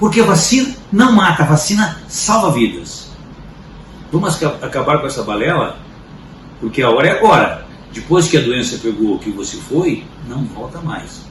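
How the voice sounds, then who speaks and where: A man with a fairly high pitch talks at a moderate pace, his pitch swinging very widely and broken by long, frequent pauses. Room echo is audible, and there is noticeable noise in the background. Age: 60s. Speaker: commentator. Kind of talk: opinion commentary.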